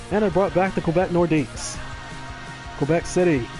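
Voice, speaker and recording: Man with a high pitch, fairly quick pace and fairly even intonation, music in the background. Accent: Texan. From Texas. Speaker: sports gamer and commentator. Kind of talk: casual gameplay commentary on a live stream.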